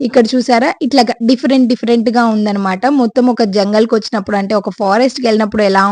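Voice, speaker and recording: This woman's voice sits fairly high and varies in an ordinary way. She uses a plain, everyday voice. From Andhra Pradesh, Guntur area (Nallapadu). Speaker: homemaker vlogger. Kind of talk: vlog narration. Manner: casual, chatty.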